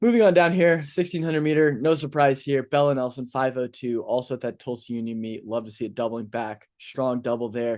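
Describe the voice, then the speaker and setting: A man with an American accent speaks at a fairly quick pace with hardly any pauses. His medium pitch varies in an ordinary way against a quiet background. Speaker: sports podcast host. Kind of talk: casual sports commentary. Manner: mumbling.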